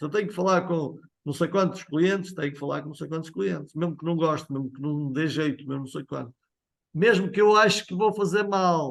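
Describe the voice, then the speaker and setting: The speaker has a European Portuguese accent. The pace is fairly quick, with ordinary pitch variation. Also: man, fairly high pitch for a man. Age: 50s. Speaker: sales trainer. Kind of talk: training session.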